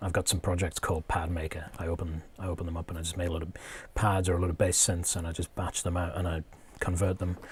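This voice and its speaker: In a very clean recording with a silent background, a man speaks very fast in a very deep, low, somewhat breathy voice with monotone, flat intonation. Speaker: music producer and streamer. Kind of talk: tutorial livestream. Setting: live stream. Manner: hesitant, many fillers.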